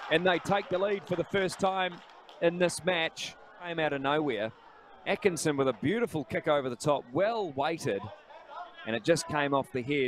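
Over noticeable background noise, a man with a fairly high pitch speaks at a moderate pace with lively intonation. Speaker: football commentator. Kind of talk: live football commentary. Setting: stadium match broadcast.

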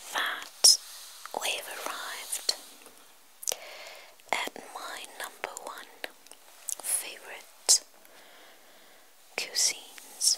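Someone whispers at a very slow pace, leaving long, frequent pauses. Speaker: ASMR creator. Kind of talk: ASMR book reading. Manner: whispered.

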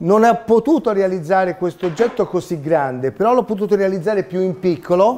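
A man's dark, mellow tone sits at a high pitch with lively intonation. He keeps a moderate pace over light background noise. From Tuscany, Italy (Pontedera). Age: 50s. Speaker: 3D printing inventor. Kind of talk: talk to children. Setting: seminar room with audience. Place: meeting room.

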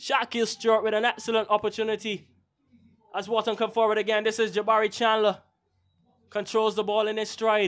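In a Barbadian accent, the speaker goes at a fairly quick pace with a monotone, flat intonation, broken by long, frequent pauses. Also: man, high pitch for a man. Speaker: match commentator. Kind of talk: live sports commentary. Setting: outdoor stadium, commentary position.

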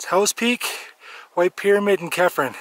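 Over a quiet background, a man speaks at a moderate pace with ordinary pitch variation, in a dry sound with no echo. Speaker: hiker vlogger. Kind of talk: casual vlog chat. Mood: cheerful, relaxed. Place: open country. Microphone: phone near.

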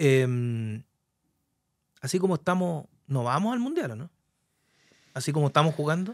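A man with lively intonation at a moderate pace, a quiet background, and a dry sound with no echo. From Chile, Curicó; Chile. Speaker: sports broadcaster and talk show host; talk show host. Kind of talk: sports talk show interview. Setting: studio. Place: studio. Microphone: studio mic.

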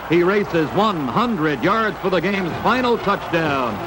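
A man talks while loud background noise fills the recording. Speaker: newsreel sports narrator. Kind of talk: 1950s newsreel sports narration, play-by-play voiceover. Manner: brisk, clipped, authoritative newsreel cadence. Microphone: old recording.

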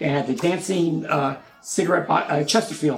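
A man with an American accent speaks at a moderate pace, his pitch fairly high for a man. It is an unremarkable speaking voice with ordinary pitch variation. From Newark, New Jersey. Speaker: retired healthcare executive. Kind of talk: interview.

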